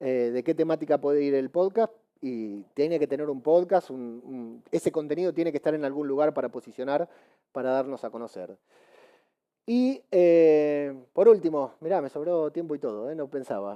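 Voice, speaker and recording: Heard in a dry, close recording with no echo, a man with a Rioplatense accent speaks in a fairly high pitch, his tone dark and mellow and his intonation lively. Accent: Argentine Spanish (rioplatense). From Argentina. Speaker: podcaster and conference speaker. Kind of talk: conference talk. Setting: stage with audience. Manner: fast; animated.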